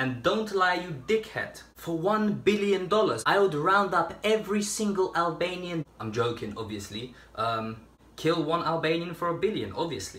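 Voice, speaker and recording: A man's high-pitched voice at a moderate pace, with very wide pitch swings and audible room echo. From Albania, raised in England from age 6. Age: 20s. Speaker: YouTuber; vlogger. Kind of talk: casual Q&A video monologue. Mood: joking, sarcastic comedic tone. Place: kitchen. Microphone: phone near.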